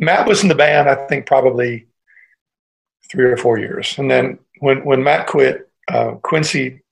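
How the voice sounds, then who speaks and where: Somewhat breathy and medium in pitch, a man with an American accent speaks at a moderate pace with ordinary pitch variation. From US Midwest, Cleveland, Ohio. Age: old. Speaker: musician. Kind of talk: casual interview.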